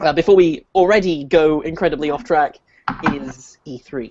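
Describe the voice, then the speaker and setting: A man speaks in a British accent. His pitch is fairly high. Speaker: podcast host, former games editor. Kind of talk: casual chat. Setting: video call.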